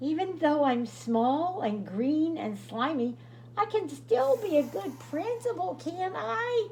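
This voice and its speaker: A woman uses a high-pitched, put-on character voice at a fairly slow pace over clear background noise. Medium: read story.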